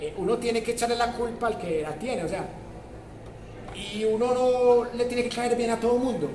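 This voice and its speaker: A man with an extremely high pitch speaks at a moderate pace with ordinary pitch variation, amid audible room echo and noticeable background noise. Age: 80s+. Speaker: university professor. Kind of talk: lecture.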